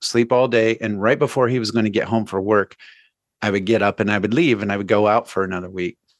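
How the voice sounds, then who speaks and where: At a fairly quick pace, a man speaks in a plain, everyday voice with medium pitch and ordinary pitch variation, the sound dry and close with no echo over a quiet background. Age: 50s. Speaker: recovery coach and musician. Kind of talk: interview testimony.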